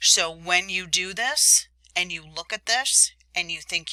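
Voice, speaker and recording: This woman's voice has a bright, sharp tone at a medium pitch, recorded dry and close with no echo. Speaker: teacher. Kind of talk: tutorial.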